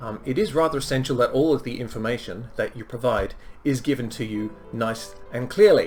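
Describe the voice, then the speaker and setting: A man speaks fairly quickly with music in the background. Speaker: film reviewer. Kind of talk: casual film review talk. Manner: hesitant, many filler ums.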